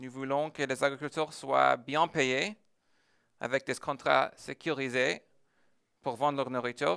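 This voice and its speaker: The voice has a bright, sharp tone and an American accent, moving at a fairly slow pace. The recording is very clean, with a silent background. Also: man. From United States. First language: English (speaking French). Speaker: tech entrepreneur. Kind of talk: conference talk. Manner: hesitant, many filler sounds.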